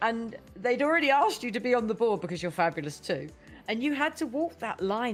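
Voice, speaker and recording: With a British accent, a woman talks at a fairly quick pace in an enthusiastic tone, her pitch swinging very widely over music in the background. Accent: British accent, self-remarked. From United Kingdom. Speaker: podcast host. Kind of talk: podcast interview.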